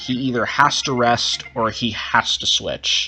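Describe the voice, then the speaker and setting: Over music in the background, a man speaks at medium pitch. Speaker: gaming youtuber, competitive player. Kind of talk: live gameplay commentary. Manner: fast.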